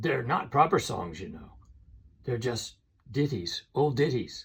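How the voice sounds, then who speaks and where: Using a raspy put-on character voice, a man speaks at a fairly slow pace and medium pitch with very wide pitch swings. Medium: read story. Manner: rustic, wary.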